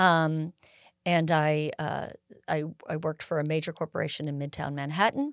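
On a very clean recording with a silent background and a dry, close sound with no echo, a woman with an American accent speaks in a very deep, low pitch with monotone, flat intonation. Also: moderate pace. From California Bay Area. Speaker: air show executive director and pilot. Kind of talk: casual interview.

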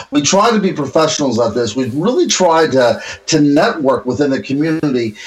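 A plain, everyday voice from a man, fairly high-pitched with an American accent, lively intonation and very even loudness. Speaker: podcast co-host. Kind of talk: casual interview chat. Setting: remote call with connection problems.

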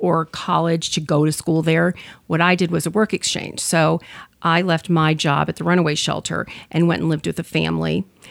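Speaking at a fairly quick pace, a woman with an American accent uses a fairly low pitch, vocal fry, monotone, flat intonation and very even loudness. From US Midwest, suburb of Detroit, Michigan. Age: 50s. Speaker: professional organizer and crafter. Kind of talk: casual interview.

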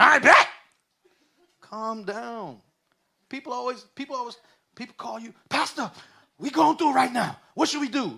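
A man with an American accent speaks in a raised, projected voice at an extremely high pitch, with an animated, bright, sharp tone and ordinary pitch variation. His loudness swings widely, and he leaves long, frequent pauses. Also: moderate pace. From New York City. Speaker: pastor. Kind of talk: sermon.

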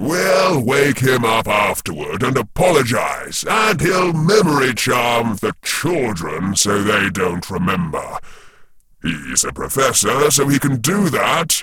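A man does a put-on character voice at a medium pitch, moving at a fairly slow pace with very wide pitch swings. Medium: read story. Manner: cold, controlled.

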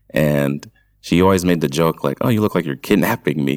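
A man with an American accent speaks at a moderate pace in a very deep, low voice, recorded with a dry, close sound and no echo. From New York. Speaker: medical X-ray technician. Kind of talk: casual chat.

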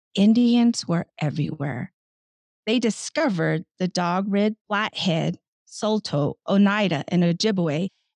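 A woman speaks at a medium pitch with lively intonation and an ordinary speaking voice. The sound is dry and close, with no echo. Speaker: podcast host. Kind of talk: interview. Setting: video call.

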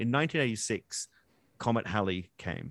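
A man with an Australian accent. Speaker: science communicator and podcast co-host. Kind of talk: casual interview chat. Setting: remote call. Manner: animated.

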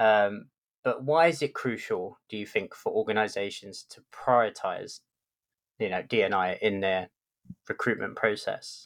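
Speaking with a London accent, a man goes at a fairly slow pace, his loudness swinging widely. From London, England. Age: middle-aged. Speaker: podcast host, tech lead. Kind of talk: interview conversation.

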